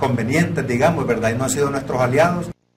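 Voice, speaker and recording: A man's fairly even intonation against noticeable background noise. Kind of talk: interview answer. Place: meeting room. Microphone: lapel.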